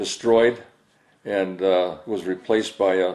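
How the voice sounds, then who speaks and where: A man with an Upper Midwest accent speaks at a fairly low pitch. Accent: Upper Midwest (Minnesota). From Saint Paul, Minnesota. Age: 80s+. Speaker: elderly interviewee recalling childhood. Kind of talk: oral history interview. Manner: halting, many fillers and repetitions.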